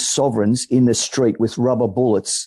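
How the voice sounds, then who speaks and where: Speaking at a moderate pace, a man with an Australian accent has a medium pitch and a dark, mellow tone. The sound is dry and close, with no echo. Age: 60s. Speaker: political campaigner. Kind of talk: meeting speech.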